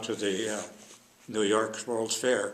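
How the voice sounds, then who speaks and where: A man with flat, monotone intonation. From US Pacific Northwest, Edmonds area. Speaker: war veteran. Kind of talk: oral history interview. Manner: halting, many filler uhs.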